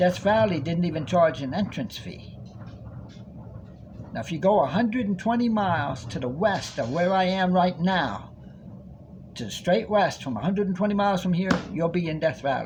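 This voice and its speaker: A man speaks in a high voice with lively intonation, leaving long, frequent pauses. Audible echo fills the room around him. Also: moderate pace. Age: 60s. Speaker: vlogger. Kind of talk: monologue. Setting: recorded on a tablet.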